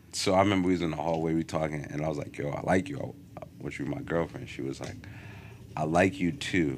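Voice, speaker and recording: A man with an American accent, very deep and low in pitch, with vocal fry, ordinary pitch variation and a very fast pace. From northern New Jersey, Teaneck area. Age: 30s. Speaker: podcast host. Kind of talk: casual chat. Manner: animated.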